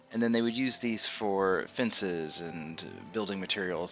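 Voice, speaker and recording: A man's very deep, low voice with ordinary pitch variation over background music. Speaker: game streamer. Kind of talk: gameplay commentary. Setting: home, late at night. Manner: loud.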